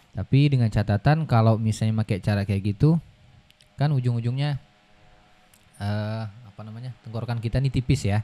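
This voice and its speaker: Dry and close with no echo, a man's dark, mellow voice sits at medium pitch, moving at a fairly quick pace with fairly even intonation. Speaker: Quran reciter (qari). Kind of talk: casual podcast interview.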